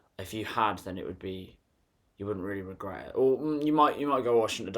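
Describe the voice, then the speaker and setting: The man's pitch varies in an ordinary way while he rattles along at a very fast pace. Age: 20s. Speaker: vlogger. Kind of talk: casual monologue. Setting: bedroom. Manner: laughing.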